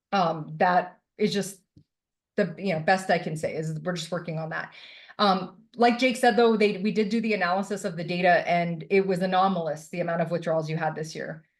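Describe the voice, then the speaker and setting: Fairly even intonation and audible room echo around a woman's fairly low-pitched voice. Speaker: school administrator presenting report. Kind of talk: board meeting report. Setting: governing council meeting. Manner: fast.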